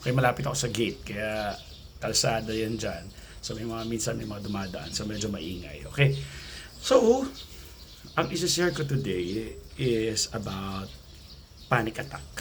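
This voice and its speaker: Over noticeable background noise and audible room echo, a man with a fairly low pitch talks at a moderate pace with lively intonation and long, frequent pauses. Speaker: anxiety coach vlogger. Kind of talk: casual vlog talk. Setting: outdoors near gate by road. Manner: soft-spoken.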